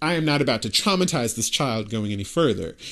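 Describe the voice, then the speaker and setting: Over a quiet background, a man speaks with vocal fry and very wide pitch swings. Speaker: podcast host and showrunner. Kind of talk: solo monologue. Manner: casual, filler-heavy; unscripted.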